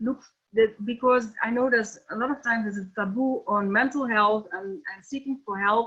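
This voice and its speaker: Fairly high pitch from a woman, ordinary pitch variation, moderate pace. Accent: Dutch. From Netherlands. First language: Dutch. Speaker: NLP trainer and coach. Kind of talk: webinar lecture. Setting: online webinar. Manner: halting, many fillers.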